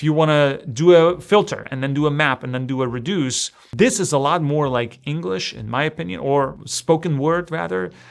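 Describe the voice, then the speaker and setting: This man has a fairly high pitch and a non-native accent, with big swings in loudness. He speaks at a moderate pace with hardly any pauses. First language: not English. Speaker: programming tutor. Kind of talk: tutorial. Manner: casual, conversational.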